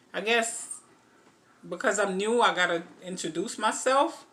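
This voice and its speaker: A woman speaks with an American accent. Noticeable background noise runs underneath. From Antigua, then New York. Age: 40s. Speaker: vlogger. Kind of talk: casual Q&A vlog. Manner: hesitant, many fillers.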